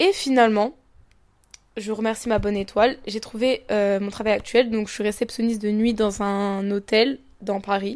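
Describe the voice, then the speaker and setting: A woman speaks at a fairly high pitch and a moderate pace with fairly even intonation. The recording is very clean, with a silent background. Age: 20s. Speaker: podcaster. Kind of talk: casual monologue. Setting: lying in bed at home. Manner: hesitant, many fillers.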